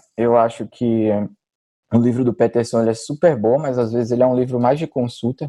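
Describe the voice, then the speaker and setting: Recorded with a dry, close sound and no echo, a man speaks at medium pitch in a dark, mellow tone. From Brazil, Maceió (Alagoas, Northeast). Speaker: neuroradiologist. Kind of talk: casual interview about exam preparation.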